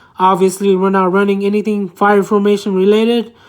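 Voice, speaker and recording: A woman's medium-pitched voice at a moderate pace, on a very clean recording with a silent background. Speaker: card game content creator. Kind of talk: deck profile tutorial. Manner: halting, stumbling over card text.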